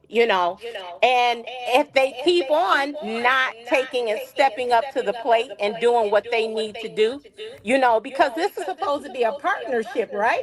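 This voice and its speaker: This woman's voice is high-pitched, with lively intonation and a fairly slow pace. Noticeable background noise runs underneath. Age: 60s. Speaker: caller. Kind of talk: call-in discussion.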